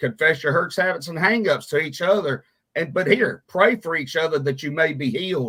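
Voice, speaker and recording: With a Southern US accent, a man speaks at a fairly quick pace and a fairly high pitch. His tone is bright and sharp, with ordinary pitch variation. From US South, Mississippi (Meridian). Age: 50s. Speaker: radio show host, recovery ministry leader. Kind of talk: casual talk show conversation. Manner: casual, halting with fillers.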